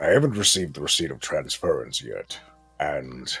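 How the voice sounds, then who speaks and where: Putting on a character voice, a man speaks at a moderate pace with faint music in the background. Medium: actual play. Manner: plain-spoken, measured.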